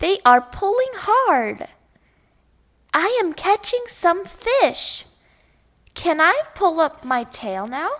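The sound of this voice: A woman's put-on character voice, extremely high and fairly bright, with big pitch swings, a slow pace and long, frequent pauses.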